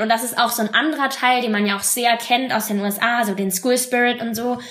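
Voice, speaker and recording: A woman's fairly high voice at a fairly quick pace, with fairly even intonation over noticeable background noise. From western Germany, Bonn. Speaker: former exchange student. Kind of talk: podcast interview.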